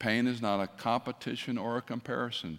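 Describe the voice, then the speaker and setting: A man with a normal speaking voice talks at a moderate pace with fairly even intonation. The recording is very clean, with a silent background. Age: 60s. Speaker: retired pastor, guest preacher. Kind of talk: sermon. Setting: church with congregation.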